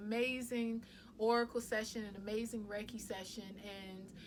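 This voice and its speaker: Over noticeable background noise, a woman talks at a moderate pace with monotone, flat intonation and a fairly high pitch. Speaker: wellness vlogger and Reiki practitioner. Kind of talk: casual vlog talk to camera. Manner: loud.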